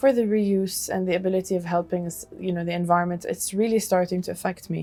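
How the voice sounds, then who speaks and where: The speaker has an Arabic accent and talks at a very fast pace with fairly even intonation. Noticeable background noise runs under the voice. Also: woman, medium pitch for a woman. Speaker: fashion designer. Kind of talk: interview. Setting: conference.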